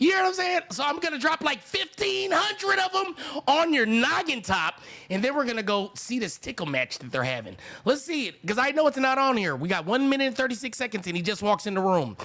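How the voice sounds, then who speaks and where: The speaker talks at a fairly quick pace in an American accent, the voice raised and projected. The tone is animated, with very wide pitch swings. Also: man, extremely high pitch for a man. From Sacramento, California. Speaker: reaction streamer. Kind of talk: live reaction commentary. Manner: yelling.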